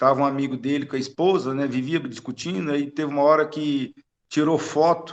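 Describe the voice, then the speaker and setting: A man's fairly high voice with fairly even intonation at a moderate pace. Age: 50s. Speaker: spiritist study group participant. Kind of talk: group discussion over video call. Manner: halting.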